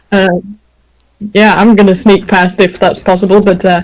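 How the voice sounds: At a moderate pace, a woman speaks fairly low with a slightly mellow tone and little pitch movement.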